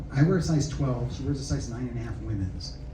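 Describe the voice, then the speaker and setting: With an American accent, a man speaks at a moderate pace, with noticeable background noise and audible room echo around him. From US South. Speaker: spiritual speaker. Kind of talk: talk to a live audience. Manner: animated.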